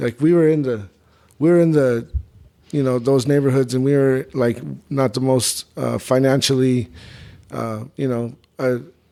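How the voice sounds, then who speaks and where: Speaking with a New Mexico accent, a man at medium pitch has a dark, mellow tone, fairly even intonation, a moderate pace and long, frequent pauses. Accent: New Mexican. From Albuquerque, New Mexico. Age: 30s. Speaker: rapper. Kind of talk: casual chat.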